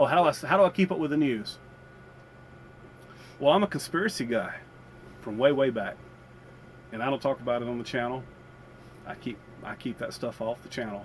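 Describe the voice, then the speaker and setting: Speaking at a fairly quick clip with an American accent, the voice has lively intonation and big swings in loudness. Long pauses come often. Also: man, medium pitch for a man. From US South. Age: 50s. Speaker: vlogger. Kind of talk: casual chat. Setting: inside a campervan. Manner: halting.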